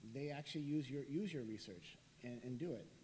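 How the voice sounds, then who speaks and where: The speech moves at a fairly quick pace. Noticeable background noise runs underneath. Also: man. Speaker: professor and researcher. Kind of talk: lecture. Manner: fast.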